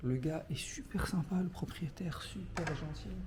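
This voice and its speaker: The voice has a dark, mellow tone with vocal fry, and audible room echo surrounds it. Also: man. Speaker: travel vlogger. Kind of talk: casual vlog talk to camera. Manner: hesitant, many fillers.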